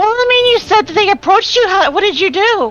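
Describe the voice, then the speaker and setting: In a put-on character voice, a woman talks at a very fast pace with an extremely high pitch and very even loudness. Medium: actual play. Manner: eager, rambling.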